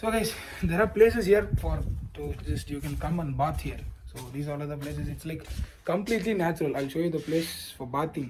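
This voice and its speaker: A man speaks at a very fast pace with a non-native accent. His pitch is fairly high and his intonation lively. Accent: non-native English, self-described weird. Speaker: travel vlogger. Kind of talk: casual vlog narration. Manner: halting, many fillers.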